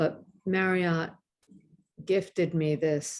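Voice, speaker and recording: A woman's fairly low voice, dark and mellow, at a very slow pace with fairly even intonation. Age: 60s. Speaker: acupuncturist teacher. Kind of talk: online presentation. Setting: video call from hotel room.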